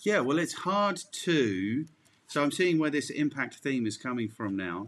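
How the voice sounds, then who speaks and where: The recording is very clean, with a silent background. A man with an English accent speaks at a fairly high pitch, his voice swinging very widely up and down. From England. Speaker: marketing podcast host. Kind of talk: podcast interview.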